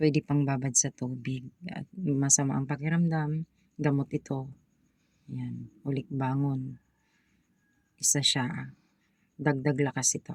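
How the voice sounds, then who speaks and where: A woman's very deep, low voice, fairly slow, with monotone, flat intonation and long, frequent pauses. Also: big swings in loudness. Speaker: vlogger selling amulets and folk remedies. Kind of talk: product showcase vlog. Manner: halting with many fillers.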